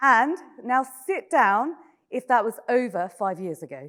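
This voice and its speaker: Bright and sharp in tone, a woman with a British accent talks at a high pitch with very wide pitch swings. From Britain. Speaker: panel moderator. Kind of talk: moderating a conference panel. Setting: stage with audience. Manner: casual, conversational.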